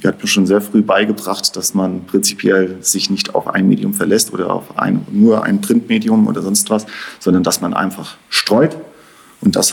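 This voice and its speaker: This man talks at a moderate pace. Noticeable background noise can be heard. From Rhineland-Palatinate, Bad Kreuznach. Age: 40s. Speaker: father, office worker. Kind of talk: casual interview.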